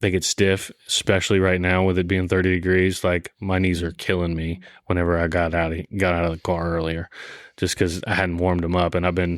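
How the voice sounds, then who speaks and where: A man with an American accent, a very deep, low pitch, monotone, flat intonation and a fairly quick pace. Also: very clean recording, silent background. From US South, South Louisiana. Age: 20s. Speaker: army veteran. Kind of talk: casual interview conversation.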